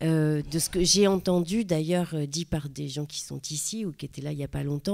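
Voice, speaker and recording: A woman with a Parisian accent, very deep, low pitch, and a dark, mellow tone, on a very clean recording with a silent background. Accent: Parisian (titi parisien). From Paris, 20th arrondissement. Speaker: theatre director. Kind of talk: panel talk. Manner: halting, many hesitations.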